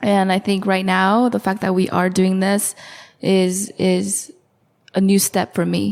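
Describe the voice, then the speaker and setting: A woman speaks at a fairly slow pace in an American accent. Her intonation is monotone and flat, and her loudness stays very even. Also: medium pitch for a woman. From California. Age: 20s. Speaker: podcast guest. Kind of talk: casual chat.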